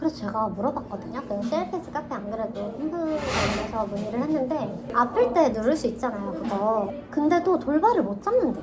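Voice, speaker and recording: A high-pitched woman with lively intonation, a fairly quick pace and hardly any pauses, amid audible room echo and noticeable background noise. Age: 30s. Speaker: chronic pain patient. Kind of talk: casual chat. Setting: in-person meeting.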